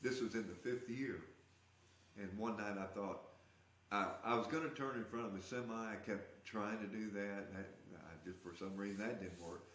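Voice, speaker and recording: A man's fairly low voice with ordinary pitch variation at a moderate pace, noticeable background noise and audible room echo. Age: 70s. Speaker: rat rod builder and artist. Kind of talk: testimony.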